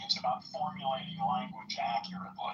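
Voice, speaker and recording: There is noticeable background noise. A man speaks at a fairly quick pace. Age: 80s+. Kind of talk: casual chat. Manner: halting.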